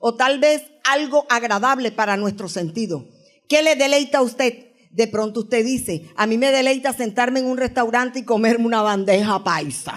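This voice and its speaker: Here a woman talks in an unremarkable speaking voice. Her pace is moderate and her pitch variation ordinary. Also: fairly high pitch for a woman. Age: 60s. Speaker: guest preacher. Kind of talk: sermon.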